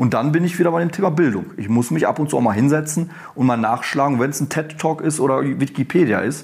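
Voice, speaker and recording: A man with a fairly high pitch talks at a very fast pace with ordinary pitch variation. Noticeable background noise sits behind him. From Germany, Ruhr area. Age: 30s. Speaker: professor and dean. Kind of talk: interview.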